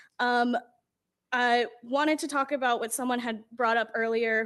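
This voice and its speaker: In a plain, everyday voice, a woman speaks at a moderate pace and fairly high pitch with fairly even intonation. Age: 20s. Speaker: public commenter at city budget hearing. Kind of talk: public comment. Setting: council meeting.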